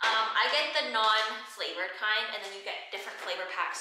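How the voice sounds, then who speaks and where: Noticeable background noise and audible room echo around a woman speaking. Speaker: fitness trainer and content creator. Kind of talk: Q&A vlog. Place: gym.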